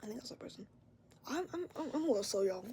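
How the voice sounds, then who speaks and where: A woman's dark, mellow tone carries vocal fry. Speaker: vlogger sharing mental health experience. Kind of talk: casual vlog monologue. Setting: at home, bedroom door open. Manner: loud; rambling, halting.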